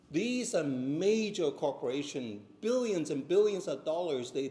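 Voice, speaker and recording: A man talks at a moderate pace with a high pitch, a dark, mellow tone and very wide pitch swings. Audible room echo surrounds his voice. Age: 60s. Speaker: seminar speaker. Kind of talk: church seminar talk.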